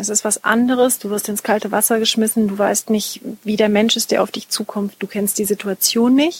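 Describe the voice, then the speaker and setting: A woman has an unremarkable speaking voice, fairly high in pitch. She talks at a moderate pace with fairly even intonation. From Munich, Bavaria. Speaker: master tailor and stylist. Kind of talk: interview. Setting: her studio.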